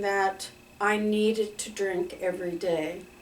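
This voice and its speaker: A woman with a medium pitch speaks in fairly even intonation, with audible room echo around her voice. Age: 60s. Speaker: recovering alcoholic sharing her story. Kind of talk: personal testimony. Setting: recorded talking to a camera. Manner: hesitant, many fillers.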